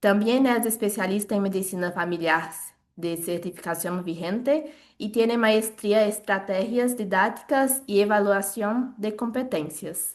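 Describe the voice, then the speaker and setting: A woman's voice in a Brazilian accent, with ordinary pitch variation. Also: medium pitch for a woman, fairly slow pace. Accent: non-native Spanish, Brazilian. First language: Portuguese (speaking Spanish). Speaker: webinar moderator, family doctor. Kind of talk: event introduction. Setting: video call webinar. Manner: halting.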